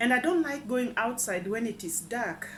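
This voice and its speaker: The room echo is audible as a woman speaks at a moderate pace. Her fairly high voice carries lively intonation. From East Africa. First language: an African language. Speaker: vlogger. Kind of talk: casual vlog chat. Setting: at home. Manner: halting, repeats words.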